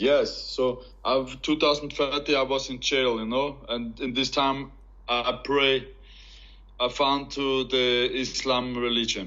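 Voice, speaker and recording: A man with an Austrian accent speaks at a very slow pace in a medium pitch, his intonation monotone and flat. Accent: German-speaking Austrian accent in English. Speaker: professional MMA fighter, convert. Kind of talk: interview testimony. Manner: halting, broken English.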